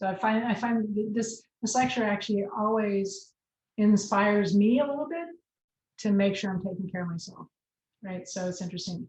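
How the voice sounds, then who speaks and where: This woman talks at a moderate pace in a medium pitch, her voice somewhat breathy and her pitch variation ordinary. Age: 60s. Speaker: college nutrition professor. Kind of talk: lecture.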